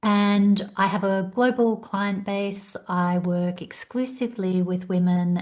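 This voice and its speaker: A somewhat breathy voice with fairly even intonation over a quiet background. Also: woman. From Australia. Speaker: career coach. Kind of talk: podcast interview.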